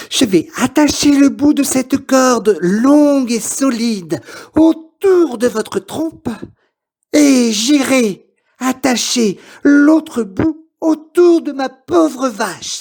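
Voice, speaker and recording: A put-on character voice, pitched high and delivered at a very slow pace. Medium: read story. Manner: polite, persuasive.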